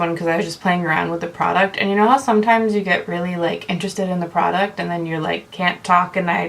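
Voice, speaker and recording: Noticeable background noise sits behind a woman whose medium pitch varies in an ordinary way. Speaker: makeup vlogger. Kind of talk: video intro to camera. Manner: fast.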